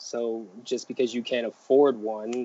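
With an American accent, a man speaks at a fairly slow pace and a medium pitch, his intonation monotone and flat. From Northern Virginia. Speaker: public defender. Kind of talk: interview conversation.

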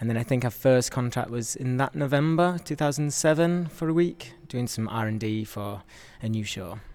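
Speaking with a Yorkshire accent, a man holds a moderate pace and medium pitch with lively intonation. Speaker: dancer. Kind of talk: casual chat.

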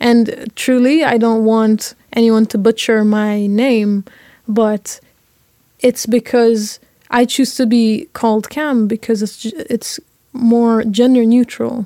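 A woman speaks at a very slow pace with a dark, mellow tone and fairly even intonation. The sound is dry and close with no echo. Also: fairly high pitch for a woman. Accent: Lebanese. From Lebanon. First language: Arabic. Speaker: university student. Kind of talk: panel discussion.

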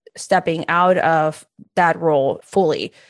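A woman speaks with a Spanish accent against a quiet background. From Peru. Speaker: career coach and entrepreneur. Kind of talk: podcast interview.

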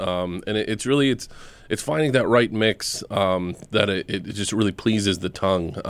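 This man has a normal speaking voice at a medium pitch. His pitch variation is ordinary. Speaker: guest wine enthusiast. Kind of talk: comedic tasting banter. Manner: rambling, repeats words.

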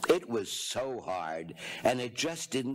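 The voice is an unforced reading voice. It reads the text through.

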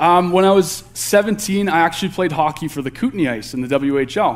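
With a Canadian accent, this is an ordinary speaking voice at a moderate pace, showing ordinary pitch variation. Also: man. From Alberta, Canada. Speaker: candidate youth pastor. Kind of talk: sermon. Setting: church.

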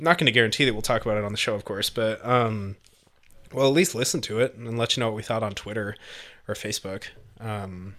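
A man with a bright, sharp tone speaks at a medium pitch and a fairly quick pace, leaving long, frequent pauses. The recording is very clean, with a silent background. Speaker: podcast host. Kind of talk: casual banter.

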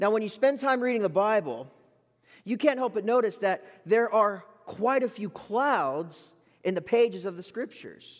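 A man's high voice with lively intonation. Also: moderate pace, very clean recording, silent background. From Florida Gulf Coast. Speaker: bible college graduate, preacher. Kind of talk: sermon. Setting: church pulpit with congregation.

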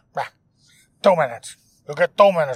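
A raspy, put-on character voice at a low-to-middle pitch rattles along at a very fast pace.

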